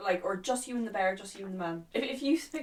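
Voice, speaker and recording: A woman speaks with an Irish accent. Her intonation is lively and her pace fairly quick. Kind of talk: casual conversation.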